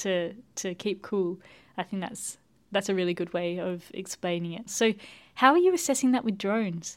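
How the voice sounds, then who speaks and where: In an unremarkable speaking voice, a woman talks at a moderate pace with a medium pitch and ordinary pitch variation, on a very clean recording with a silent background. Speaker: radio show host and plant scientist. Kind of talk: interview.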